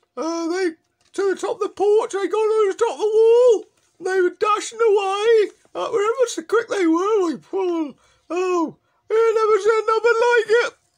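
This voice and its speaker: This is a put-on character voice from a man. It sits at an extremely high pitch. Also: moderate pace. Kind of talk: comic overacting. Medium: solo performance. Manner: rambling, hesitant.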